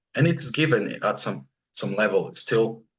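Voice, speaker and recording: There is a somewhat breathy quality to this voice. The pitch moves in a lively way. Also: man. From Brazil. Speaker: spiritual practitioner. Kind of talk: interview conversation. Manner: halting, many repetitions.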